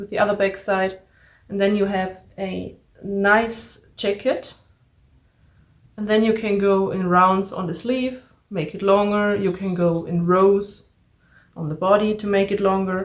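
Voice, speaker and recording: Speaking with a German accent, a woman talks at a very slow pace in a monotone, flat intonation, with long, frequent pauses. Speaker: crafting podcaster. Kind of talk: casual crafting vlog.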